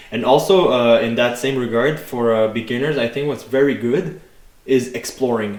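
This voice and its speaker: Noticeable background noise surrounds a man talking at a moderate pace. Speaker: fitness podcast co-host. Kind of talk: casual podcast chat. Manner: loud; hesitant, many fillers.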